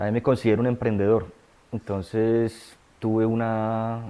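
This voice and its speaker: A man talks at a fairly slow pace in a normal speaking voice. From Colombia, Medellín area. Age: 30s. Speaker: data scientist in recovery from addiction. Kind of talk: testimony.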